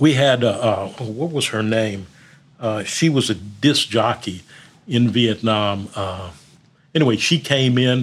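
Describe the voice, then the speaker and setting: A man talks at a very slow pace in a medium pitch. The recording is very clean, with a silent background. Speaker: war veteran. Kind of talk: casual chat. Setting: studio.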